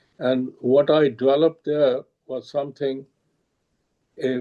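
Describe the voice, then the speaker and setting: A man talks at a very slow pace in a medium pitch, his intonation monotone and flat. His tone is dark and mellow. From India (born Lahore, grew up New Delhi). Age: 80s+. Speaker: retired chemical engineer. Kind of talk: interview. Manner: halting.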